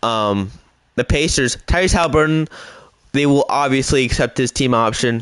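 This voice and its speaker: In an ordinary speaking voice, a man of medium pitch talks at a moderate pace with ordinary pitch variation and very even loudness. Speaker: gaming YouTuber. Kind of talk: gameplay commentary.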